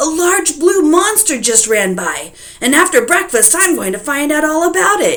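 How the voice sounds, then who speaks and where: Putting on a character voice, a woman speaks loudly at a high pitch with very wide pitch swings and a moderate pace, against light background noise. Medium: read story. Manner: loud, blustering.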